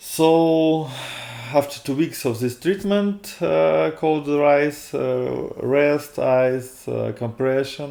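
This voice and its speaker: A man with a Russian accent talks at a very slow pace. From Russia, Moscow. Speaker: video blogger. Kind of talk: personal testimony. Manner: halting, many fillers.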